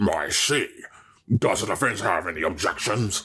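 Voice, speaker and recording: Growling in a put-on character voice, a man speaks at a fairly low pitch. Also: moderate pace. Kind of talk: video game voice acting. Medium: game stream.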